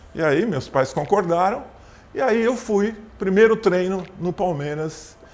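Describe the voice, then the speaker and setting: This man's voice sits high in pitch for a man and has lively intonation. Noticeable background noise runs under it. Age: 70s. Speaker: former basketball player and PE teacher. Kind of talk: interview.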